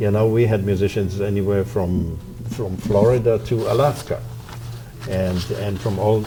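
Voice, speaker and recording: With music in the background and audible room echo, a man speaks at a fairly slow pace in a fairly low pitch with ordinary pitch variation. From Poland. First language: Polish. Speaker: violin professor and orchestra founder. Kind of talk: interview.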